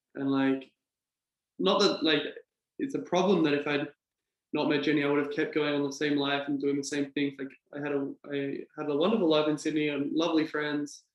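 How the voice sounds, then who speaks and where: With an Australian accent, a man speaks at a fairly quick pace in a fairly high pitch. His intonation is fairly even, with long, frequent pauses. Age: 20s. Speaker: English teacher. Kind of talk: casual chat.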